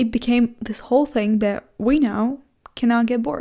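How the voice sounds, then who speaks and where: A woman's fairly high voice with a dark, mellow tone, fairly even intonation, a non-native accent and a moderate pace. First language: not English. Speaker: vlogger. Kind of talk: casual monologue vlog. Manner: halting, self-correcting.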